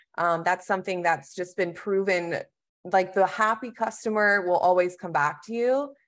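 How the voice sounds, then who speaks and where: A woman's medium-pitched voice with an American accent and ordinary pitch variation, an unremarkable speaking voice. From Texas. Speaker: marketing manager. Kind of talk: business interview.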